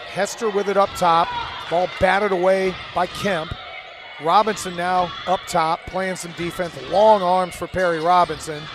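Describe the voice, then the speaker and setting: A high-pitched man's voice at a fairly slow pace, with noticeable background noise. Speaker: play-by-play commentator. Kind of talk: live commentary. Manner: animated.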